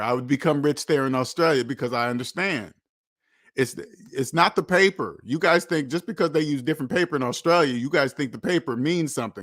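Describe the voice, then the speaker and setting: Speaking with an American accent at a fairly quick pace, a man uses a fairly high pitch, an animated tone and ordinary pitch variation, in a very clean recording with a silent background and a dry, close sound with no echo. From United States. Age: 50s. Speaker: finance channel host. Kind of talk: livestream monologue.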